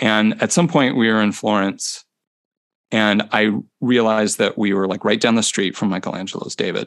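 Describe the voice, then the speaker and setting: An ordinary speaking voice from a man, fairly low in pitch, at a moderate pace. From US Midwest, Chicago area. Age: 40s. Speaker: percussion instructor. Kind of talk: casual interview. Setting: video call.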